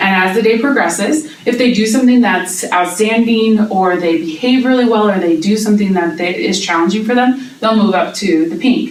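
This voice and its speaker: A woman's energetic, fairly high voice at a moderate pace with hardly any pauses, ordinary pitch variation, audible room echo, and noticeable background noise. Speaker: teacher, job interview candidate. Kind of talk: mock job interview. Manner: loud, energetic.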